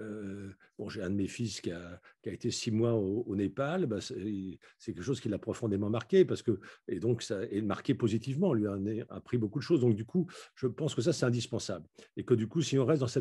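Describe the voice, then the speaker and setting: Over a quiet background, a man with a dark, mellow, somewhat breathy medium-pitched voice talks at a moderate pace with lively intonation. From France, Paris suburbs. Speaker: philosopher and urbanist author. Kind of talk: lecture. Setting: video call.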